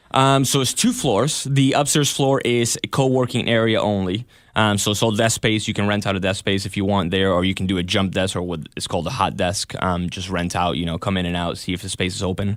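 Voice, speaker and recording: With a Spanish accent, a man talks at a fairly quick pace. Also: fairly low pitch for a man, ordinary pitch variation. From Argentina, Buenos Aires. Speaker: videographer and studio owner. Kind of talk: radio interview. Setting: radio studio.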